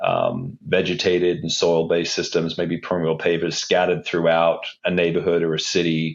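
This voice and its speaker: A man speaks at a moderate pace in a very deep, low voice with a slight Australian accent, his intonation fairly even and hardly any pauses. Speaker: civil engineer, stormwater infrastructure manager. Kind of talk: podcast interview.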